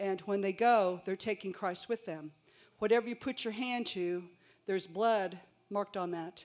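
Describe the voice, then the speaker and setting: A woman's medium-pitched, unremarkable speaking voice with fairly even intonation, on a very clean recording over a silent background. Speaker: congregation member sharing a word. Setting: church.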